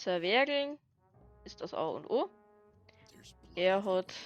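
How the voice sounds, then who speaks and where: With music playing in the background, a woman speaks in a Bavarian accent with ordinary pitch variation. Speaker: gaming video creator. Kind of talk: casual let's play commentary.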